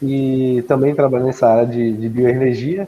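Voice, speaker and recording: Here a man talks at a fairly quick pace. His pitch sits at a medium level. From Brazil, Minas Gerais. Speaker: agronomist and university professor. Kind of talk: guest lecture.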